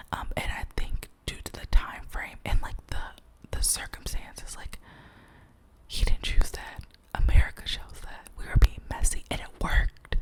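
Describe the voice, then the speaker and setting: Over noticeable background noise, a woman whispers at a fairly slow pace, with big swings in loudness. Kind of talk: casual talk to camera. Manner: whispered, rambling, gossipy.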